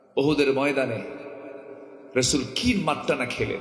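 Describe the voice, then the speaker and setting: A medium-pitched man's voice with fairly even intonation, under noticeable background noise. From Dhaka, Bangladesh. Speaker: Islamic preacher. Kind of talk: religious sermon at a public gathering. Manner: emotional, impassioned.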